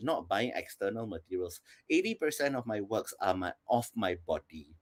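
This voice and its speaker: The recording is very clean, with a silent background and a dry, close sound with no echo. A man with vocal fry speaks at a moderate pace, his pitch swinging very widely. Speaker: performance artist. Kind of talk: panel discussion.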